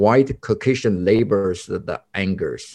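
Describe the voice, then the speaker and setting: The background is quiet. A man speaks with a Chinese accent. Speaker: podcast co-host, community activist. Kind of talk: casual chat. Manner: halting.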